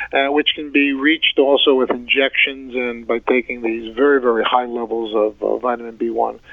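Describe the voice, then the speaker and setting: A voice in monotone, flat intonation moves at a moderate pace with hardly any pauses, over noticeable background noise. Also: man, medium pitch for a man. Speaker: podiatric physician and researcher. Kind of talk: interview discussing research.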